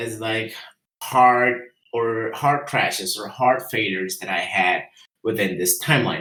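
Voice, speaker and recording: In a Spanish accent, a man speaks at a moderate pace with a bright, sharp tone. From Guatemala. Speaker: entrepreneur and engineer. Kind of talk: presentation. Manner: halting, many fillers.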